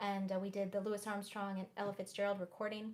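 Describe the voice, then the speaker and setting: A woman in an Oklahoma accent, medium-pitched and fairly quick. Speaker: jazz pianist and singer. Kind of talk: casual chat with livestream viewers. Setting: livestream concert from home.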